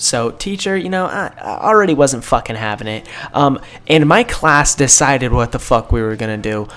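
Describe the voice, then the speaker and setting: A fairly high-pitched man's voice with very wide pitch swings and noticeable background noise. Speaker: YouTuber storyteller. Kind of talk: casual storytelling vlog. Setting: small confined room at home. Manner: hesitant, many fillers.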